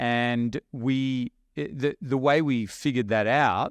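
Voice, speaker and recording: The recording sounds dry and close with no echo, over a quiet background. A man with an Australian accent speaks at a medium pitch. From rural Australia. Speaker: online business investor. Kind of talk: podcast interview. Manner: animated.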